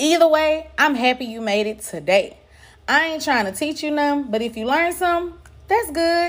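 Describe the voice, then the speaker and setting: With very wide pitch swings, a woman speaks in an animated tone. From Dallas, Texas (Pleasant Grove, Oak Cliff, Garland). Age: 30s. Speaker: podcast host. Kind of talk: casual monologue, storytelling. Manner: animated, laughing often.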